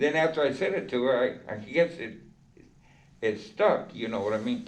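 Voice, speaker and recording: Amid audible room echo, a man speaks at a moderate pace and medium pitch, with very wide pitch swings. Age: 70s. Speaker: formerly incarcerated man. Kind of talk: personal storytelling. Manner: animated.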